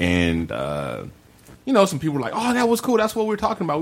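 A man speaks with very wide pitch swings. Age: 40s. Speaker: podcast host. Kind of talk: casual chat. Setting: studio.

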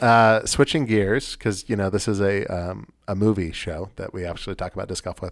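In a very clean recording with a silent background, a man with an unremarkable speaking voice talks at a fairly quick pace, his fairly low pitch held in fairly even intonation. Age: 30s. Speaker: disc golf podcast host, amateur player. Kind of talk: casual chat.

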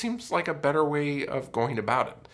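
A man of medium pitch speaks with an American accent. His moderate pace carries noticeable vocal fry. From Colorado. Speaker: podcast co-host. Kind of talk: casual chat.

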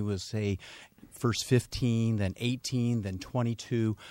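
A man's ordinary speaking voice at medium pitch, dry and close with no echo, on a very clean recording with a silent background. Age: 50s. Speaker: anti-aging doctor. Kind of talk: casual chat.

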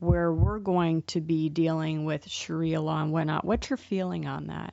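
This woman has a normal speaking voice with a fairly low pitch. Her intonation stays fairly even. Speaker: radio host. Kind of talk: radio interview.

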